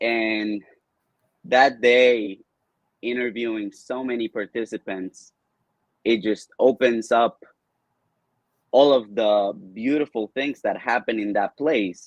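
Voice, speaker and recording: A man with a Spanish accent speaks at a very slow pace, at a medium pitch with fairly even intonation and long, frequent pauses, in a dry, close sound with no echo. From Colombia. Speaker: video producer and entrepreneur. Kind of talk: interview.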